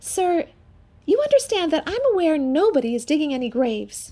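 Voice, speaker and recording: Squeaky and put-on, a woman's character voice sits at an extremely high pitch, with very wide pitch swings at a fairly quick pace. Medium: audio drama. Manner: dry, matter-of-fact.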